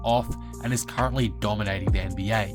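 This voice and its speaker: A man speaks with a very deep, low pitch and very wide pitch swings. Music plays in the background. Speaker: NBA YouTuber. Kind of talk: sports commentary narration.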